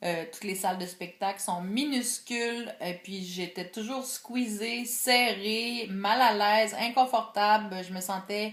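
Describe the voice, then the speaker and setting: Speaking very slowly in a Quebec accent, a woman keeps a medium pitch and fairly even intonation, pauses hardly at all, and swings widely in loudness. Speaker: video blogger. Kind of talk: vlog monologue. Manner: hesitant, many filler words; careful enunciation.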